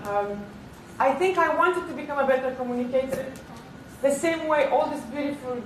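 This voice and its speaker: A woman with a Romanian accent, high-pitched with ordinary pitch variation, in audible room echo and noticeable background noise. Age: 30s. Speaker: keynote speaker, TV presenter and model. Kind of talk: keynote speech.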